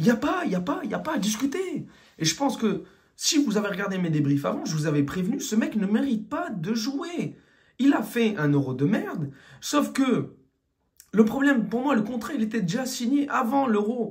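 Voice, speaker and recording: His pitch extremely high, a man speaks with very wide pitch swings. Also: moderate pace. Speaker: football fan commentator. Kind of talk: post-match rant. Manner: animated.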